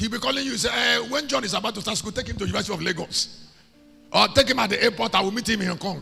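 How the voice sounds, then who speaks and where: With music playing behind him, a man speaks very fast in a raised, projected voice, his high pitch rising and falling in a lively way and his tone animated. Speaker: preacher. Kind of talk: sermon, preaching to a congregation. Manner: animated, conversational.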